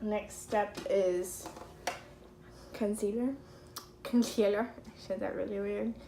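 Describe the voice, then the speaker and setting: A woman's very slow pace with long, frequent pauses over noticeable background noise. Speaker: beauty vlogger. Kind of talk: casual makeup tutorial.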